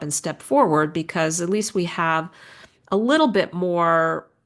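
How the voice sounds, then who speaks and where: A woman talks at a fairly slow pace in a fairly low pitch with ordinary pitch variation. She has a plain, everyday voice, and the background is quiet. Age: 60s. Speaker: optometric physician. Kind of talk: interview conversation.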